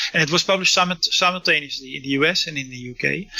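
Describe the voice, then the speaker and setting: A man's voice sits high in pitch, with ordinary pitch variation. There is noticeable background noise. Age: 50s. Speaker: author and researcher on UFO history. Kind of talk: interview. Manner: halting, many fillers and restarts.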